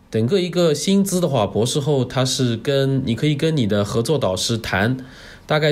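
A man with a normal speaking voice at medium pitch, moderate in pace, lively in intonation, with very even loudness. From Jiangsu, China. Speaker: postdoctoral researcher. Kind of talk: casual interview chat. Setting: remote recording over the internet.

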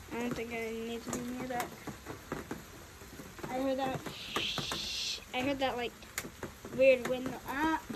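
Fairly slow speech over loud background noise. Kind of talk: casual vlog chat. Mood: nervous, scared of lightning. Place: garden. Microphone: phone near.

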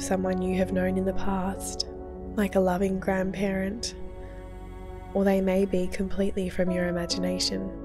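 Calm tone from a woman with an Australian accent, at a moderate pace, with music in the background. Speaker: therapist, meditation guide. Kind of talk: guided meditation. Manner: calm, soft-spoken.

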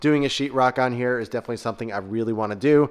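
The background is quiet. A man talks with ordinary pitch variation. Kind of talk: casual vlog tour narration. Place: garage. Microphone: phone near.

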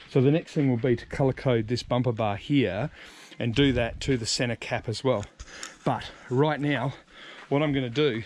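A man talks at a moderate pace with fairly even intonation. The sound is dry, with no echo. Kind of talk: casual vlog tutorial. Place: street. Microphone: phone near.

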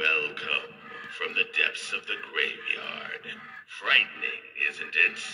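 Using a cartoonish character voice, a man speaks at an extremely high pitch and a fairly slow pace, leaving long, frequent pauses. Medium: animated Halloween prop. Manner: menacing, teasing.

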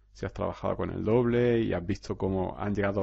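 The setting is quiet around this male speaker. His intonation stays fairly even. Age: 30s. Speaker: hypnotherapist podcaster. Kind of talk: solo podcast monologue. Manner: hesitant, repeats words.

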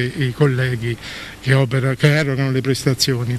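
Against light background noise, a man talks at a fairly quick pace in a monotone, flat intonation, the sound dry with no echo. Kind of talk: interview answer. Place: garden. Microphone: podium.

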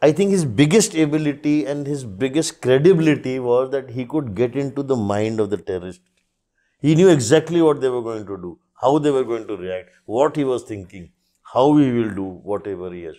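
With a dark, mellow tone and big swings in loudness, a man speaks at medium pitch and a fairly quick pace with lively intonation against a quiet background. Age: 50s. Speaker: author of a military biography; podcast guest. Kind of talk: podcast interview. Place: studio. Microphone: lapel.

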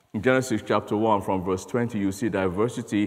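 Speaking at a moderate pace with fairly even intonation, a man has a fairly low pitch and an unremarkable speaking voice over a quiet background. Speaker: conference speaker. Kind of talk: sermon. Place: church.

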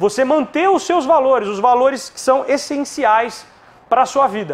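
This man's pitch sits extremely high, with lively intonation. His loudness swings widely from moment to moment. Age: 30s. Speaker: psychologist and coach; coach or presenter. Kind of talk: motivational talk. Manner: halting, with many fillers. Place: studio. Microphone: lapel.

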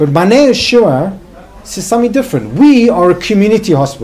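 A man talks at a fairly quick pace with high pitch. His pitch swings very widely. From South Africa. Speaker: psychiatrist and hospital director; guest lecturer. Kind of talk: lecture. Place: hall.

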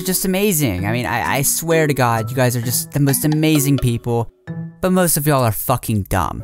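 Very wide pitch swings at a moderate pace, with music in the background. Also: man. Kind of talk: rant commentary to camera.

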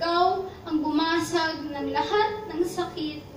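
With an extremely high pitch and ordinary pitch variation, a woman speaks at a fairly slow pace amid light background noise and audible room echo. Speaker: spoken word poet. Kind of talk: spoken word poetry performance. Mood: emotional, devotional. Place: shop. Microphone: camera far.

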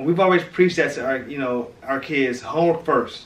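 Fairly quick speech with an American accent, in a room with audible echo. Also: man. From St. Louis, Missouri; Missouri. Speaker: family vlogger. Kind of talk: casual family interview. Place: home room. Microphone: camera far.

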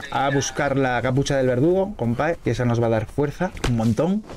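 A man with a fairly high pitch speaks at a moderate pace over noticeable background noise. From Spain. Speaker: gaming streamer. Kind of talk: casual gameplay chat. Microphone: studio mic.

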